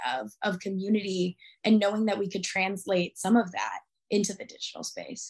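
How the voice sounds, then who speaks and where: Over a quiet background, a woman at medium pitch speaks with fairly even intonation and a somewhat breathy voice. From Arizona, US. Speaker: activist. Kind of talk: interview.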